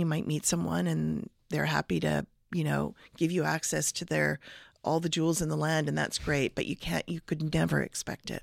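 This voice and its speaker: At a moderate pace, the voice comes through dry and close with no echo, on a very clean recording with a silent background. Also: woman. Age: 50s. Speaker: lawyer and executive coach. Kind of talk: interview.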